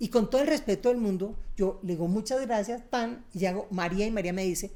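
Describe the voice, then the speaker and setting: Her tone dark and mellow, a woman moves through her words at a fairly quick pace. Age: 60s. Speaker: speaker and author on happiness. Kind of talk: interview conversation. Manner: animated.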